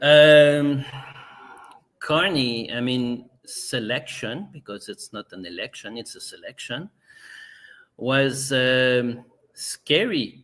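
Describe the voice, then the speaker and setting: This man's voice sits at a medium pitch. He talks very slowly. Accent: Quebec. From Quebec. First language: French. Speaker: political party member, interview guest. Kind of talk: podcast interview. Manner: halting, many repetitions.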